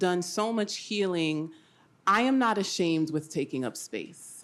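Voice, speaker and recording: In a very clean recording with a silent background, a woman at medium pitch uses lively intonation and a fairly slow pace. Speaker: mental health advocate. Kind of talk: panel discussion. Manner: loud.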